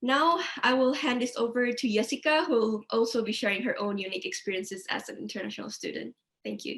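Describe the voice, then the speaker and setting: A woman talks at a very fast pace with lively intonation. Her pitch sits fairly high. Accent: non-native. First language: not English. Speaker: counselling student. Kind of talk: webinar presentation. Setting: online webinar.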